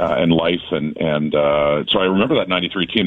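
A man's fairly even intonation at a fairly quick pace. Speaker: football broadcaster. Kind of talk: radio interview, casual sports chat.

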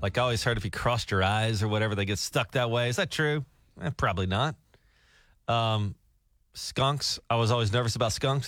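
On a very clean recording with a silent background, a man with a Southern US accent talks fairly quickly at a medium pitch with very even loudness. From Alabama. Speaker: radio morning show host. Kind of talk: casual chat. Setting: radio studio.

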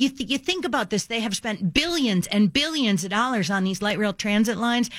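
A woman's fairly high, animated voice in a very clean recording with a silent background. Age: 60s. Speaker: radio talk show host. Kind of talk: talk radio commentary. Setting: radio studio.

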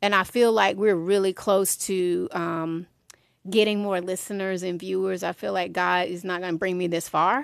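In a very clean recording with a silent background, a woman talks at a moderate pace with fairly even intonation and an unremarkable speaking voice. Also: medium pitch for a woman. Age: 50s. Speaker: music industry executive and mental health advocate. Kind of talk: interview.

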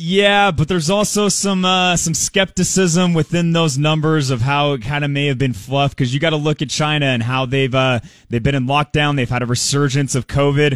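A man with a plain, everyday voice at fairly high pitch, moderate pace, ordinary pitch variation, very even loudness and hardly any pauses, on a very clean recording with a silent background. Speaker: financial advisor. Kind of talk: market commentary interview.

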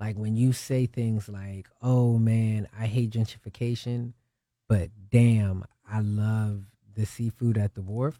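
Speaking very slowly in an American accent, a man with a fairly low pitch and a dark, mellow tone delivers monotone, flat intonation in a dry, close sound with no echo, on a very clean recording with a silent background. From Ohio. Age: young. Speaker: rapper. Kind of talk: casual chat.

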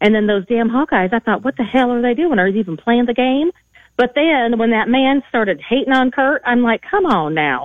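A woman with a slight Southern accent speaks at a moderate pace in a high pitch, her intonation lively and her loudness very even. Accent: slight southern twang. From Missouri. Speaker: caller. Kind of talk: call-in radio. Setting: phone call.

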